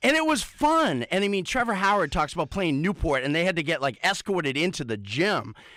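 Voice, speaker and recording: A loud, animated man with an American accent speaks high for a man, his pitch swinging very widely in a bright, sharp tone. He talks at a fairly quick pace with hardly any pauses, on a very clean recording with a silent background. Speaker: radio sports show co-host. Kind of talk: rant on sports radio. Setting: radio studio. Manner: animated, fired up.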